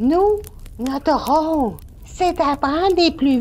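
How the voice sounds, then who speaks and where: Someone does a put-on character voice at a very slow pace, with clear background noise behind it. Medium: audio drama.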